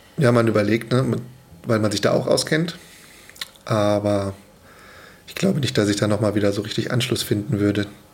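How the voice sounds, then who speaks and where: The speech moves at a moderate pace with ordinary pitch variation and long, frequent pauses. Noticeable background noise runs underneath. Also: man, fairly low pitch for a man. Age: 30s. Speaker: father of two, commuter. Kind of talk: casual chat.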